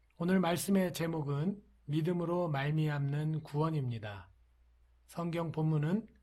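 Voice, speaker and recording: In a very clean recording with a silent background, a man speaks fairly slowly at a fairly high pitch with ordinary pitch variation. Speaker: pastor. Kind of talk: sermon. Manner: soft-spoken; formal.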